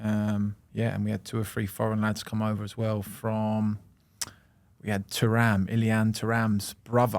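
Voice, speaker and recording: A man with a London accent speaks at a moderate pace in a monotone with flat intonation. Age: 20s. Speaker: professional football goalkeeper. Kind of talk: casual chat.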